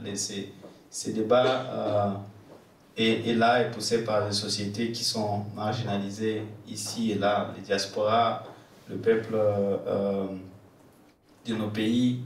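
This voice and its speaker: At a very slow pace, the speaker delivers flat, monotone lines with long, frequent pauses, amid light background noise and audible room echo. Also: man, fairly low pitch for a man. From DR Congo, Goma; DR Congo. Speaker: activist. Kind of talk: panel Q&A answer; conference talk. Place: stage.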